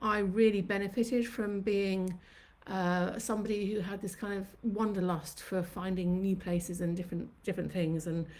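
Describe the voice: In a room with audible echo, a woman speaks at a moderate pace with little pitch movement and a slightly mellow tone.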